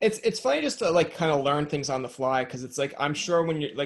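This man's voice sits at a medium pitch. His pitch varies in an ordinary way.

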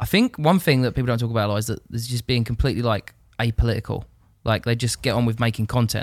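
A man at medium pitch and a very fast pace with fairly even intonation, in a very clean recording with a silent background and a dry, close sound with no echo. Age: 20s. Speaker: videographer. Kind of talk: casual chat.

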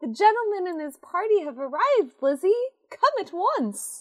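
A woman puts on a character voice at an extremely high pitch, moving at a moderate pace with very wide pitch swings. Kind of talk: formal, period. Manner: urgent.

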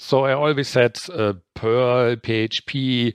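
A man talks with a German accent at a medium pitch. The sound is dry and close with no echo, over a quiet background. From northern Germany. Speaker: independent programmer. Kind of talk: casual interview chat.

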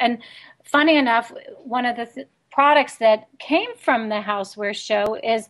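A woman with an American accent speaks at a moderate pace in a fairly high pitch with ordinary pitch variation, a normal speaking voice, over a quiet background. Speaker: radio host. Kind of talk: casual radio interview.

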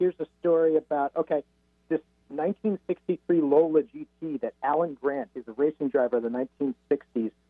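With a normal speaking voice, the man sits at a fairly high pitch and shows ordinary pitch variation. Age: 40s. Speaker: author and automotive columnist. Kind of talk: interview.

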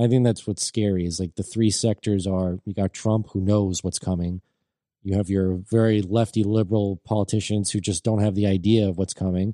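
Dark, mellow tone delivered in a flat monotone at a moderate pace, with dry, close sound, no echo and a quiet background. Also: man, fairly low pitch for a man. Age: 20s. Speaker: co-host. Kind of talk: casual chat.

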